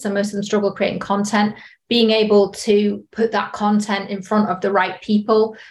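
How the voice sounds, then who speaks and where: Here is a woman speaking. She has a British accent. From UK. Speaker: sales director. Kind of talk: podcast interview.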